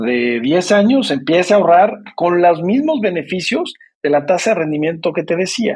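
In a Mexican accent, a man speaks at a high pitch and a moderate pace. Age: 50s. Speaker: retirement savings entrepreneur. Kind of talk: interview.

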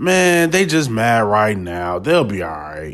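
A man talks at a fairly slow pace. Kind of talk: heated rant. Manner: repetitive, insistent, hammering rhetorical questions; impassioned, forceful.

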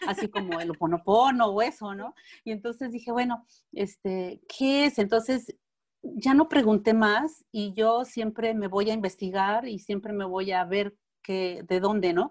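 This woman talks in a Mexican accent at a fairly slow pace. Her voice sits fairly high, with ordinary pitch variation. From Mexico. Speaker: alternative therapist. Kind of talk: interview.

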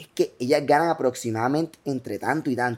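Speech moves at a fairly quick pace in a Colombian Caribbean accent. The recording is very clean, with a silent background. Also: man. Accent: Colombian Caribbean (costeño) Spanish. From Colombian Caribbean coast (Bolívar, Cartagena, Barranquilla). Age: 20s. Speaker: entrepreneur and content creator. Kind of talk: casual interview. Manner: fast, hyperactive.

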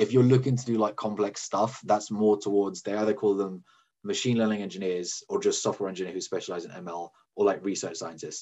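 Speaking with a British accent, a man keeps a fairly low pitch, fairly even intonation and a fairly quick pace. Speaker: data scientist. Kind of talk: casual chat. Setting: video call. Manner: fast, repetitive fillers.

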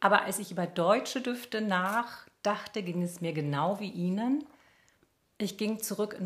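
Her voice sits at a medium pitch and moves with ordinary pitch variation. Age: 50s. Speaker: journalist and podcast co-host. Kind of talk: casual chat.

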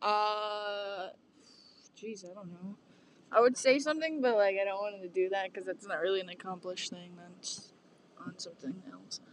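A woman with a plain, everyday voice speaks at medium pitch, with ordinary pitch variation and big swings in loudness. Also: moderate pace. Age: young. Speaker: college student podcast host. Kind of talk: casual chat.

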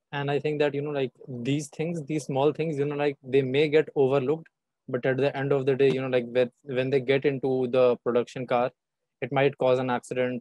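A man's dark, mellow voice, monotone and flat, at a fairly quick pace, in a dry, close sound with no echo. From India. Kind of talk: interview.

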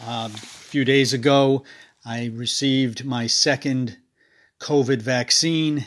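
Raspy speech with a fairly bright tone comes at a slow pace and with fairly even intonation. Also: man, medium pitch for a man.

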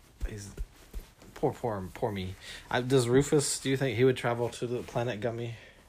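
With a playful tone and a somewhat breathy sound, the man keeps fairly even intonation and leaves long, frequent pauses. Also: medium pitch for a man, moderate pace. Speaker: podcast host. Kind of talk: casual interview with a child and puppets. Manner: playful, joking.

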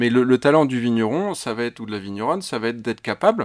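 A man's medium-pitched, lively voice at a fairly quick pace, dry and close with no echo, on a very clean recording with a silent background. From France, Loire Valley (Chinon). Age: 40s. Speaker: winemaker. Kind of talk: casual interview. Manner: halting, many repetitions and fillers.

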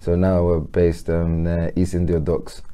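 A man's very deep, low voice with a dark, mellow tone, in a London accent. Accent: London English, multicultural London. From south London (Peckham). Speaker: entrepreneur and charity board member. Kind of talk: casual interview.

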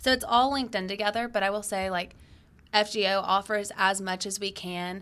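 On a very clean recording with a silent background, a woman speaks in a bright, sharp tone with fairly even intonation. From Georgia, US (Acworth, metro Atlanta). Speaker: university student. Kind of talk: casual interview.

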